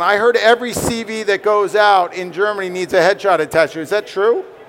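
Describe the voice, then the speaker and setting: A man with an American accent talks at a fairly quick pace in a high pitch with ordinary pitch variation, with noticeable background noise behind him. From New York. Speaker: headshot photographer. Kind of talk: interview at trade fair stage. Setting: stage with audience at trade fair.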